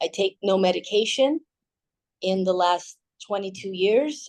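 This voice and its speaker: A woman speaks with a plain, everyday voice at a medium pitch, her intonation lively. The sound is dry and close, with no echo. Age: 60s. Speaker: fitness instructor. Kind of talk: fitness class instruction. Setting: video call.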